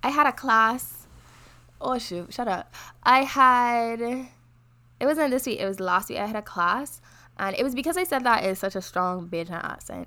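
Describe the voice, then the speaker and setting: On a very clean recording with a silent background, a woman with a fairly high pitch and a bright, sharp tone sounds animated, her intonation lively, broken by long, frequent pauses. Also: moderate pace. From Barbados. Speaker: podcast co-host, university student. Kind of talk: casual chat.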